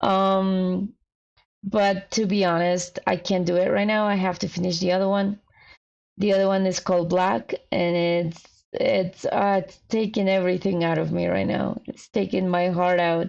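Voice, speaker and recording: Against a quiet background, a woman with a Spanish accent speaks at medium pitch and a moderate pace, her intonation monotone and flat. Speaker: fanfiction writer streamer. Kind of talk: casual livestream chat. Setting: livestream. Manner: halting.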